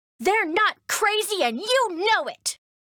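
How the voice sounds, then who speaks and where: A woman's put-on character voice, growling at an extremely high pitch and a fairly slow pace. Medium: video game. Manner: animated, chatty, emotional.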